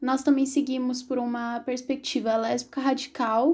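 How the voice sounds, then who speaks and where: This woman has a high pitch and a dark, mellow tone. She speaks at a fairly slow pace. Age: 20s. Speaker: activist and social science student. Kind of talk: podcast interview.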